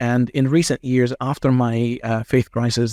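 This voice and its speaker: The tone is dark and mellow, with monotone, flat intonation at a moderate pace. The sound is dry and close with no echo, on a very clean recording with a silent background. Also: man. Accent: Arabic. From Egypt. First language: Arabic. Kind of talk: interview conversation. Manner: calm, measured.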